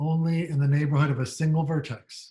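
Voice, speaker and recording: A man's fairly high voice, somewhat breathy. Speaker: university lecturer. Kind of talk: lecture.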